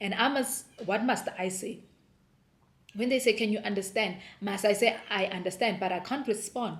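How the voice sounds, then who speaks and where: A somewhat breathy voice with a South African accent, fairly even intonation and a moderate pace. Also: woman, medium pitch for a woman. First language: Sepedi. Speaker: homeschooling mom vlogger. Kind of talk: casual vlog talk.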